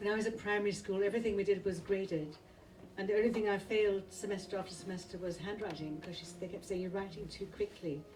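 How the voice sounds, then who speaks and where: With audible room echo and noticeable background noise, a woman talks at a very fast pace and medium pitch with fairly even intonation. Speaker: poet. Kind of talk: poetry reading.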